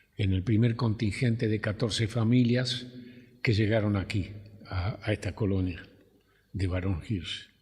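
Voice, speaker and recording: A man speaks at a fairly slow pace, pausing long and often. His fairly low voice is somewhat breathy. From Argentina, Rivera (Buenos Aires province). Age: 80s+. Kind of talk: oral history interview. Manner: halting, hesitant.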